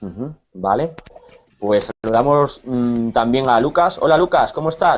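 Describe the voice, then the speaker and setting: A man with an ordinary speaking voice talks at a fairly slow pace and medium pitch, his intonation lively. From Spain, Cáceres. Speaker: Spanish teacher. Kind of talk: online language class.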